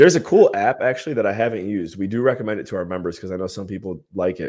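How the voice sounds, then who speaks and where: Over a quiet background, a man speaks with an American accent at a fairly low pitch. He has a plain, everyday voice with ordinary pitch variation. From Ohio, US Midwest. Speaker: entrepreneur, mastermind group leader. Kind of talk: interview, casual business chat.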